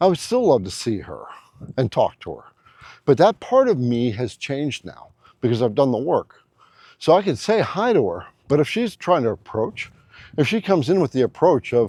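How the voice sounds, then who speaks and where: This man's fairly high voice has a dark, mellow tone and vocal fry, with very wide pitch swings, big swings in loudness and long, frequent pauses. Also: moderate pace. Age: 60s. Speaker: relationship advice YouTuber. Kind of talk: casual advice monologue. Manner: conversational with fillers and repetitions.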